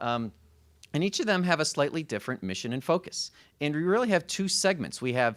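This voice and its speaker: A man with a Chicago accent talks at a fairly quick pace with very wide pitch swings. The recording is very clean, with a silent background. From Chicago area, US Midwest. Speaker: college consortium administrator. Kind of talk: panel presentation. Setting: panel event with audience. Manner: hesitant, many fillers.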